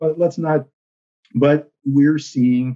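A man's normal speaking voice at medium pitch, with an American accent, ordinary pitch variation and a dry, close sound with no echo. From South Texas, Rio Grande Valley. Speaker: newspaper columnist. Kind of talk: casual interview.

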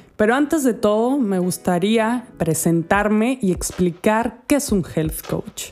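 Despite noticeable background noise, a woman with a fairly high pitch speaks at a very slow pace with hardly any pauses, lively intonation and very even loudness. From Spain, Andalusia. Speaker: health coach, podcast host. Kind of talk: podcast monologue. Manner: friendly.

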